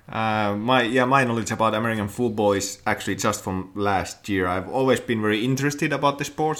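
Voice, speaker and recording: A man with a Finnish accent talks at a fairly quick pace. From Finland. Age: 30s. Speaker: podcast co-host. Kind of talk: casual chat, podcast. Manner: halting, hesitant with filler words.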